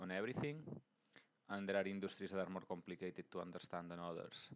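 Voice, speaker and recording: A man's very deep, low voice in a Spanish accent, with fairly even intonation. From Spain. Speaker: investing YouTuber. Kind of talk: tutorial. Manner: halting, many fillers and restarts.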